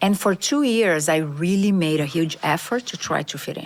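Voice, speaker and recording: A woman in a Brazilian accent, fairly low-pitched, with lively intonation at a moderate pace. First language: Portuguese. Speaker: corporate diversity executive. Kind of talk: podcast interview.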